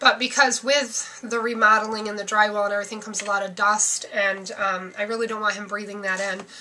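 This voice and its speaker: Against noticeable background noise, a woman talks at a fairly quick pace with hardly any pauses, her fairly high voice keeping fairly even intonation. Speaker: vlogger sharing family and fertility updates. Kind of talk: casual vlog update. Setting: at home. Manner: fast.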